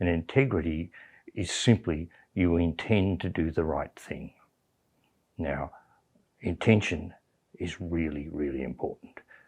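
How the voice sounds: A man speaks at a fairly slow pace in a low register, with a slightly husky edge and a slightly mellow tone. His pitch varies in an ordinary way, and he leaves long, frequent pauses.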